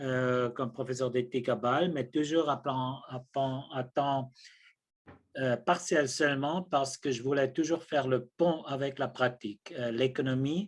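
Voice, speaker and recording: With fairly even intonation, a man talks fairly slowly at a medium pitch. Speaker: ethics professor, theologian. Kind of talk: lecture. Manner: halting, many hesitations.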